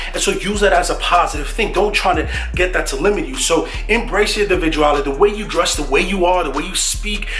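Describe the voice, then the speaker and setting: In a New York accent, a man speaks at a very fast pace amid noticeable background noise and audible room echo. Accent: New York accent, Bronx. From New York, the Bronx. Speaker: mentor to students, Stanford student. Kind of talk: motivational vlog talk. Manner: casual, conversational.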